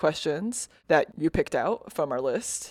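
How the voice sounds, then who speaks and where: A plain, everyday voice belongs to a woman speaking at a moderate pace with lively intonation. The recording is very clean, with a silent background. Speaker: podcast host. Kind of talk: casual chat.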